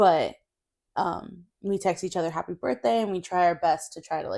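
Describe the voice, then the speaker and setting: With an American accent, a woman speaks at a moderate pace in a fairly low, dark, mellow tone with ordinary pitch variation. The recording is very clean, with a silent background. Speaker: podcast co-host. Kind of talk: casual chat.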